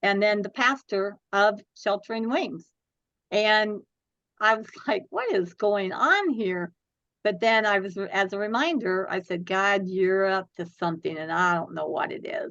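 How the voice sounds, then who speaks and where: A woman's plain, everyday voice at medium pitch, fairly slow in pace, with ordinary pitch variation. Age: 60s. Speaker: domestic violence charity founder. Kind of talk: interview.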